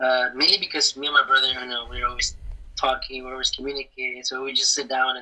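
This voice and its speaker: With a Spanish accent, a man talks at a very fast pace, his loudness swinging widely. Noticeable background noise sits behind him. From Mexico, Querétaro, moved to US at 12. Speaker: graphic designer. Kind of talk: casual interview.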